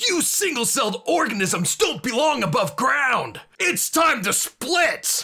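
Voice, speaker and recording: A man shouts in a put-on character voice at an extremely high pitch with very wide pitch swings. His pace is fairly slow. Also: hardly any pauses, very even loudness. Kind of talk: comic overacting. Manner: shouting, mocking, cartoonish villain.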